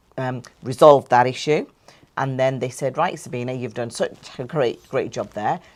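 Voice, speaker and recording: A woman's very deep, low pitch at a moderate pace. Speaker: property business founder. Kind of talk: interview. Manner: halting, repeats words.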